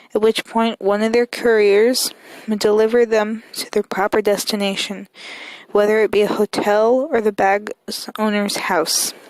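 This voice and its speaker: At a fairly slow pace, a woman with a fairly high pitch speaks in a monotone, flat intonation, the sound dry and close with no echo. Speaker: channel host. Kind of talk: reading aloud. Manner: soft-spoken.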